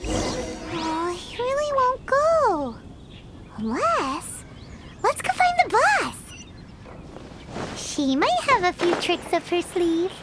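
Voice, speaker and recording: Over loud background noise, an extremely high, put-on character voice swings very widely in pitch and moves at a very slow pace with long, frequent pauses. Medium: video game. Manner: excitable.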